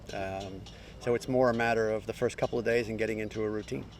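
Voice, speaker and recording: There is music in the background as a man speaks with an American accent. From New Zealand, raised elsewhere. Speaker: yacht racing co-skipper. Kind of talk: interview.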